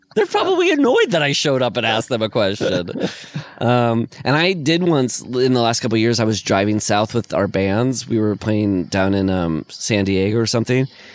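A man at a medium pitch with an American accent, moderate in pace and very even in loudness, over noticeable background noise. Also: ordinary pitch variation. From Iowa, US Midwest. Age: 40s. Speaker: podcast co-host. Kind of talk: casual chat.

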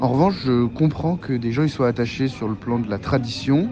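Music plays in the background as a man talks at a fairly quick pace. His voice is medium-pitched with ordinary pitch variation. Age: young. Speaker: student. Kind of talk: casual voice messages.

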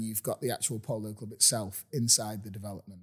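A man with an ordinary speaking voice, medium in pitch and fairly even in intonation, talks at a fairly quick pace on a very clean recording with a silent background. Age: 40s. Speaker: real estate agent. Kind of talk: casual chat. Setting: inside a house for sale.

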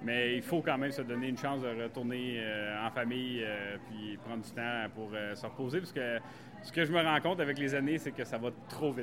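Speaking at a moderate pace, a man keeps a medium pitch and varies it in an ordinary way. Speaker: farmer and farm shop owner. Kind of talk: guided farm tour interview. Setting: on site at farm shop. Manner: hesitant with fillers.

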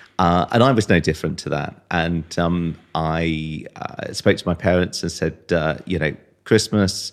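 A man with a very deep, low pitch talks at a fairly slow pace. His pitch varies in an ordinary way, and the recording is very clean with a silent background. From Wiltshire, England. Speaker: estate agent and voiceover artist. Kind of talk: casual interview chat.

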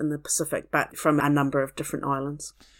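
Speaking at a fairly quick pace, a woman with a New Zealand accent has a very deep, low voice. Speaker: archaeologist and museum curator. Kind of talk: interview.

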